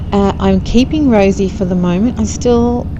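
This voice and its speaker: A woman with an Australian accent talks at a fairly slow pace. Noticeable background noise and audible room echo surround her voice. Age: 50s. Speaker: motorcycle vlogger. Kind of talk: casual vlog narration while riding. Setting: outdoors on a scooter.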